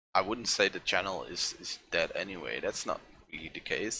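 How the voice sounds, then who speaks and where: A man talks at a moderate pace. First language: Dutch. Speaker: art streamer. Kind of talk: casual livestream chat while painting. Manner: halting, many fillers.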